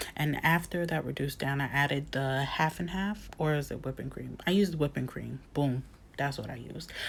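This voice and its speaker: Fairly even intonation in a woman's very deep, low voice. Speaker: home cook video creator. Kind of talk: cooking voiceover tutorial. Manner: casual, filler-heavy.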